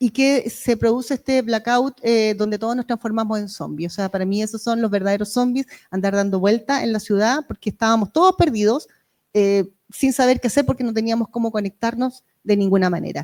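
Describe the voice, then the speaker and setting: A woman with a fairly high pitch speaks at a fairly quick pace with ordinary pitch variation on a very clean recording with a silent background. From Chile, Valparaíso region. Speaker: member of parliament. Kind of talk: panel discussion. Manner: fast; animated.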